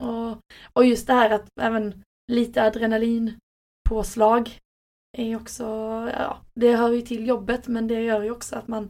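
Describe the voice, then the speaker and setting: With monotone, flat intonation, a woman speaks fairly slowly at a fairly high pitch. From southern Sweden, Skåne (near Helsingborg). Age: 20s. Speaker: ambulance nurse. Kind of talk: casual interview.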